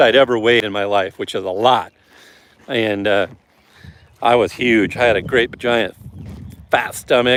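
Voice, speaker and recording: This man has a medium-pitched voice with a Midwestern US accent. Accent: US Midwest. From Nebraska, US. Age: 50s. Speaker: streamer. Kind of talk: casual chat. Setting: walking on a treadmill while livestreaming.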